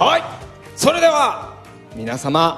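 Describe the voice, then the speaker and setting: The voice moves at a fairly slow pace while faint music plays in the background. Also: man. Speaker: voice actor. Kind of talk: closing thank-you speech at live event. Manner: stuttering, flustered, laughing. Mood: flustered, laughing, stuttering. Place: stage. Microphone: handheld.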